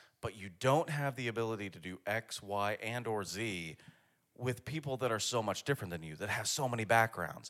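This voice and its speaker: In a plain, everyday voice, a man at medium pitch talks at a fairly quick pace with ordinary pitch variation. His loudness swings widely on a very clean recording with a silent background. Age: 30s. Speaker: podcast host. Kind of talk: casual chat. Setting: in person, drinks.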